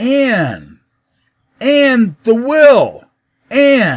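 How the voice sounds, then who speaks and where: A put-on character voice at a fairly high pitch. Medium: read story.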